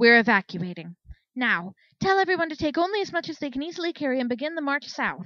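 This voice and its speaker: A put-on character voice, raised and projected, races along at a very fast pace. The pitch swings very widely. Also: woman, high pitch for a woman. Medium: read story. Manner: imperious, commanding.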